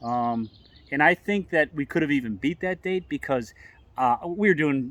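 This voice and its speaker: With an unremarkable speaking voice, a man at a fairly high pitch talks at a fairly quick pace and with lively intonation, on a very clean recording with a silent background and a dry, close sound with no echo. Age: 60s. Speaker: long-distance hiker vlogger. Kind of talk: casual chat.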